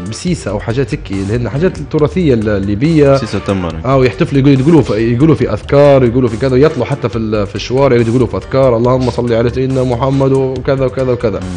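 A man talks fairly quickly, his pitch varying in an ordinary way, while faint music plays behind him. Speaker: radio guest or co-host. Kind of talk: casual radio talk-show chat, reminiscing. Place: studio. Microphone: studio mic.

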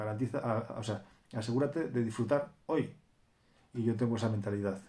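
A man with a dark, mellow tone and a somewhat breathy voice talks at a fairly quick pace. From Spain, Cantabria (Torrelavega); Cantabria, Spain. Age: 30s. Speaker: YouTuber; vlogger. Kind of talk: casual vlog monologue. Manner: animated. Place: home room. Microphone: phone near.

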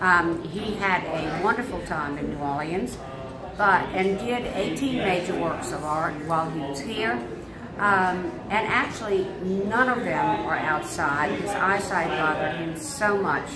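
There is music in the background. Over it, a woman talks at a fairly slow pace. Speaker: interviewee. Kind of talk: interview answer. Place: home room. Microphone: phone near.

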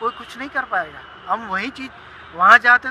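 Dry, echo-free sound of a man with ordinary pitch variation, noticeable background noise behind him. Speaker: city resident in a street interview. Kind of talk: vox-pop interview. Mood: earnest, opinionated. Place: waterside. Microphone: phone near.

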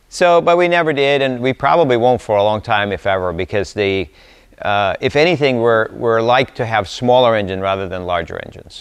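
Against a quiet background, a man is talking. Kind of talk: informal technical talk. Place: workshop.

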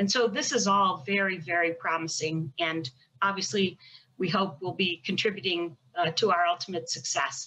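An unremarkable speaking voice comes from a woman with an American accent and fairly low pitch. She moves at a moderate pace with ordinary pitch variation. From United States. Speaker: federal prosecutor. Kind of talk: panel discussion. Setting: video call. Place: home room. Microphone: video call.

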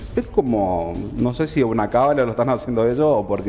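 Light background noise behind a male speaker. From Argentina, Chaco (Resistencia). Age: 30s. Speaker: tailor and fashion designer guest. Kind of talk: TV interview. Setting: TV studio. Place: studio.

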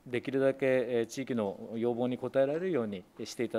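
The pace is moderate. The tone is dark and mellow. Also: man. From Japan, Saitama. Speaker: opposition legislator. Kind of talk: parliamentary committee questioning; committee questioning. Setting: parliamentary committee room. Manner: formal, with frequent fillers. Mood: polite, measured, many fillers. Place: meeting room. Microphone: podium.

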